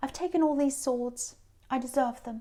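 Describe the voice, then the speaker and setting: Speaking at a fairly quick pace, a woman with a British accent has a high pitch and a dark, mellow tone. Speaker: tarot reader. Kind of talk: tarot reading to camera. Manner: animated.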